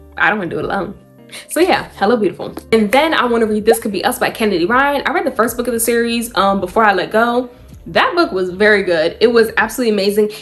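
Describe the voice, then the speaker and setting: The speech is very fast, with lively intonation and an animated tone. Noticeable background noise runs underneath. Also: woman, fairly high pitch for a woman. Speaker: book reviewer. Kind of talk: casual vlog.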